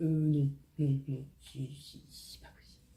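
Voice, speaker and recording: A woman's somewhat breathy, dark, mellow tone at a very slow pace. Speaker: beauty vlogger. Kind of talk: tutorial. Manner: casual, lots of hesitations.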